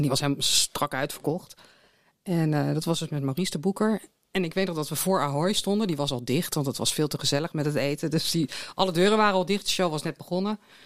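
Speaking at a very fast pace, a woman with a very deep, low pitch uses ordinary pitch variation on a very clean recording with a silent background. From Netherlands, Delft. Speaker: concert project coordinator. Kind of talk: casual interview chat. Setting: studio. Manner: halting, repeats words.

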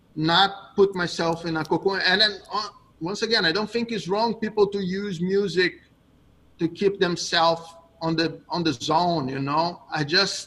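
Amid noticeable background noise, a man with a high pitch speaks fairly slowly with fairly even intonation. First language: Portuguese. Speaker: jiu-jitsu coach. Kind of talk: interview.

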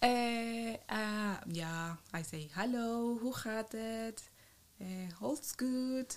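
A woman speaks very slowly in a Colombian accent. Her pitch is fairly high, with ordinary variation. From Colombia, Bucaramanga. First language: Spanish. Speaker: biologist, researcher. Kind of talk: casual interview.

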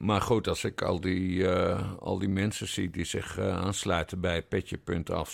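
A very deep, low male voice with vocal fry at a fairly slow pace, in a very clean recording with a silent background. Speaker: podcast co-host, journalist. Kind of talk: casual chat.

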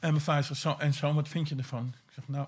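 At a moderate pace, a man with a fairly high, somewhat breathy voice speaks in a monotone, flat intonation, in a very clean recording with a silent background. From Netherlands, Vinkeveen. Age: 50s. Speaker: former addict. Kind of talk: casual interview. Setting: portable recorder in a former weed plantation.

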